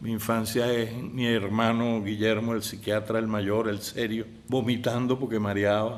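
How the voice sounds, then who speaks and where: A man speaks fairly slowly at a medium pitch. His intonation is monotone and flat. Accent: Caracas. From Venezuela, Caracas. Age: 70s. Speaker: filmmaker. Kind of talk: interview.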